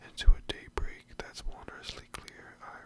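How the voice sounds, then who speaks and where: A man whispers, keeping a fairly slow pace. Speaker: ASMR creator. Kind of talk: poetry reading. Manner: whispered, soft, up close. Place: home room. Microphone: studio mic.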